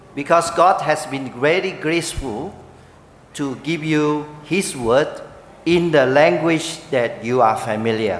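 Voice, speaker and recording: With a Chinese accent and a fairly high pitch, a man speaks at a fairly slow pace with ordinary pitch variation and long, frequent pauses, amid noticeable background noise and audible room echo. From Malaysia. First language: Mandarin Chinese (speaking Vietnamese). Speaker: pastor. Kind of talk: speech at church ceremony. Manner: pausing for interpreter.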